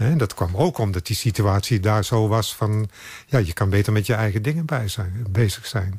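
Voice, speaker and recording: A man speaks at a fairly low pitch in a somewhat breathy voice. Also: very clean recording, silent background. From Netherlands, Brabant. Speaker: photographer. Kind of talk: interview.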